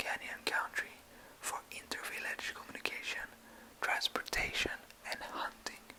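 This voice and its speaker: Whispering from a man over noticeable background noise. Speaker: ASMR creator. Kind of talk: ASMR reading aloud. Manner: whispered.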